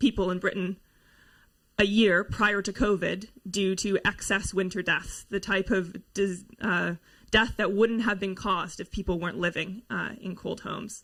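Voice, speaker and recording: In a normal speaking voice, a woman speaks at a moderate pace and medium pitch with fairly even intonation, on a very clean recording with a silent background. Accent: Canadian. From Canada. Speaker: researcher and housing campaigner. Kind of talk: conference talk.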